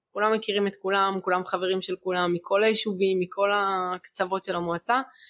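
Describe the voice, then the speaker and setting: In a normal speaking voice, a woman of medium pitch speaks at a moderate pace, the sound dry and close with no echo. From Israel, Gaza border kibbutz. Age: young. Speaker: sister of a hostage, evacuee. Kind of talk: testimony. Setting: studio, filmed.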